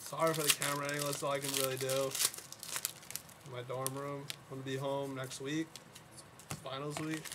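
The speech moves at a fairly quick pace. Loud background noise runs underneath it. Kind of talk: casual box-break commentary. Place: home room. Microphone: webcam.

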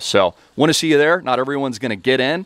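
The recording is dry, with no echo, and the background is quiet. A man is speaking. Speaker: crypto commentator and educator; online business coach. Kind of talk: online video commentary with sales pitch. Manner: animated. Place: home room. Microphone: headset.

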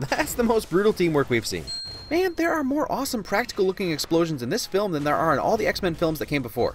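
Against noticeable background noise, a man talks at a very fast pace in a high pitch with very wide pitch swings. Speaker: film commentary narrator. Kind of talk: comedic movie commentary voice-over.

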